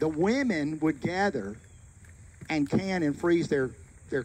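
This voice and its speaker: A man speaks with an Alabama accent at a fairly slow pace. There is light background noise. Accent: Southern US (Alabama). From US South, Florence, Alabama. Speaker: local historian giving a site tour; local history guide. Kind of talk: guided tour talk to a group. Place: open country. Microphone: handheld.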